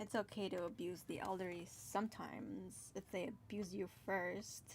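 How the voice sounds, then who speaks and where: Speaking at a moderate pace with an American accent, the voice carries noticeable vocal fry. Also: woman, medium pitch for a woman. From California. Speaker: streamer and digital artist. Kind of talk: casual livestream chat while drawing. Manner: halting, repeats words.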